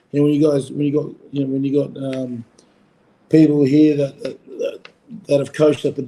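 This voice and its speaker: Speaking in a strong Australian accent, a man has a fairly high pitch and a dark, mellow tone. His delivery is fairly quick, with monotone, flat intonation. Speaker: former rugby player, coach. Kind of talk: podcast interview. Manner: casual, filler-heavy.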